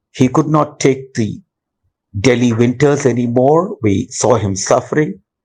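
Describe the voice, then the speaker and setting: A man speaks at a medium pitch and a fairly slow pace. His voice is somewhat breathy and very even in loudness. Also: ordinary pitch variation. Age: 60s. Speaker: caregiver and retired executive. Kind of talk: testimony.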